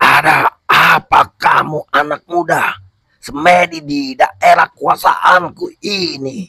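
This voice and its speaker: A man puts on a character voice at a high pitch, speaking at a very slow pace. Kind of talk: comic horror drama. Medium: audio drama. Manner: solemn, authoritative.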